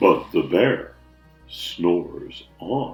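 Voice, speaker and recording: A man speaks in a put-on character voice. Faint music plays behind him, with a slight echo. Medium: read story.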